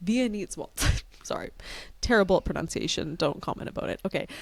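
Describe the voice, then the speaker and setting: A woman talks with a strong Canadian accent. The recording is very clean, with a silent background. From Canada. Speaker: reality TV podcast co-host. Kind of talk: casual chat.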